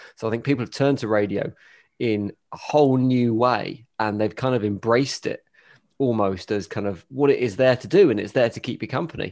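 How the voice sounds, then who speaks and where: A man's ordinary speaking voice at medium pitch with ordinary pitch variation, at a fairly quick pace against a quiet background. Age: 40s. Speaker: radio DJ. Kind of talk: casual interview chat.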